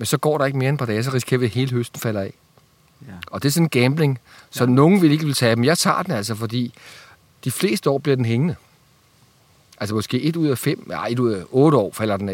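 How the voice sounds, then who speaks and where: With lively intonation, a man talks at a very fast pace but leaves long, frequent pauses. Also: medium pitch for a man. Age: 50s. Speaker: fruit grower. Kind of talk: casual interview.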